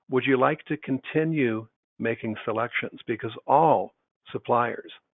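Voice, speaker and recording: A moderate pace with ordinary pitch variation. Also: man. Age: 60s. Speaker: business consultant for contractors. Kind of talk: webinar presentation. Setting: online webinar.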